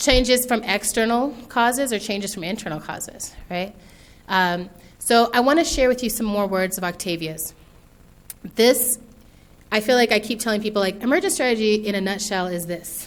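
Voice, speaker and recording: A woman with an American accent talks at a fairly quick pace amid audible room echo. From US, military environment. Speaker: author and speaker. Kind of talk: keynote talk. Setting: stage with audience. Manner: fast; animated.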